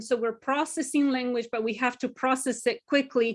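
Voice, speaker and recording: Speaking with a Spanish accent, a woman keeps her high-pitched voice in fairly even intonation. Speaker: Spanish language professor. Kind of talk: webinar lecture.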